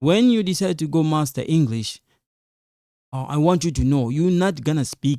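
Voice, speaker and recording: A fairly high-pitched man with a non-native accent and a dark, mellow tone, lively intonation at a moderate pace, on a very clean recording with a silent background. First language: an African language, not Lingala or French. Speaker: online teacher, YouTuber. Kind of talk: advice talk to camera. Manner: repetitive, emphatic; halting, many fillers.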